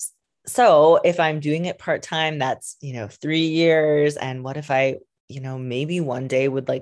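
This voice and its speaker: Against a quiet background, a woman with a very deep, low pitch speaks at a fairly slow pace with fairly even intonation and big swings in loudness. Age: 30s. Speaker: podcast host and wellness coach. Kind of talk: solo podcast monologue. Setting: home recording.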